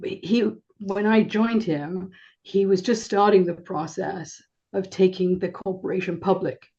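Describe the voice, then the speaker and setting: This woman's voice sits at a medium pitch with a dark, mellow tone. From England. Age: 70s. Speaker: business and personal coach. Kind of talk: interview. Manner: halting.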